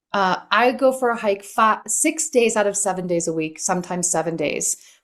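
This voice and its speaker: A woman speaks in an ordinary speaking voice at medium pitch and a moderate pace. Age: 60s. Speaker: author and life coach. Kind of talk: podcast interview.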